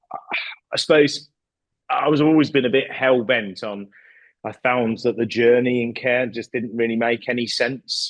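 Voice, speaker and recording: The speaker uses a fairly even intonation with a West Midlands accent. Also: man, medium pitch for a man, moderate pace. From West Midlands, England. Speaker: care home company CEO. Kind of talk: podcast interview. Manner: hesitant, repeats words.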